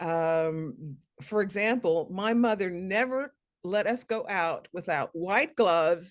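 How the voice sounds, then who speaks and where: The speech is very slow, with lively intonation. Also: woman, medium pitch for a woman. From US, Chicago-born military family, moved around. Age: 60s. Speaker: children's author. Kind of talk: interview, personal story. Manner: hesitant, many fillers.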